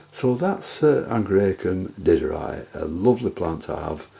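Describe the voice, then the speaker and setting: A man talks over noticeable background noise. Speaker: orchid grower. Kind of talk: tutorial. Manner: halting.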